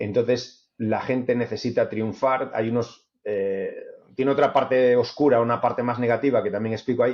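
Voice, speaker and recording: A man with an ordinary speaking voice keeps fairly even intonation, a medium pitch and a moderate pace. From Spain. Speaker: author. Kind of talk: interview conversation.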